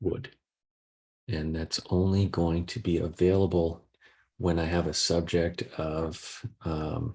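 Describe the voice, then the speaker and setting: On a very clean recording with a silent background, a man speaks at a very slow pace. His voice is very deep and low, somewhat breathy, with fairly even intonation. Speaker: software trainer / guest speaker. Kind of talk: tutorial.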